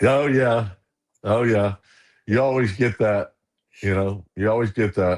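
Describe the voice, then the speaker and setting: A man's fairly low, fairly slow voice with a Southern US accent, fairly even intonation, very even loudness, and long, frequent pauses, on a very clean recording with a silent background. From US South, Arkansas and Ruston, Louisiana. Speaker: minister. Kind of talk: casual chat.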